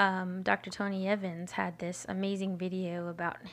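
A woman with an American accent, medium pitch, moderate pace and an ordinary speaking voice. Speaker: podcast co-host. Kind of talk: casual chat.

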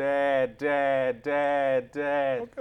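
A man uses a put-on character voice. His pitch is fairly high. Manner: eerie, echoing repetition.

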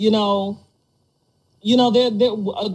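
A woman speaks in a somewhat breathy voice. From Detroit, US Midwest. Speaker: podcast host. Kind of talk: casual chat.

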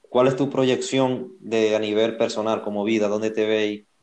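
At a moderate pace and medium pitch, a man talks with fairly even intonation in an unremarkable speaking voice. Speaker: podcast co-host. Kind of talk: casual interview.

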